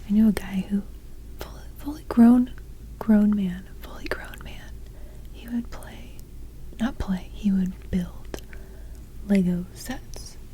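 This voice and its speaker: Whispering and soft-spoken, the voice moves at a very slow pace with long, frequent pauses. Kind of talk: ASMR ramble. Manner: whispered, soft-spoken; slightly hyperactive, chatty.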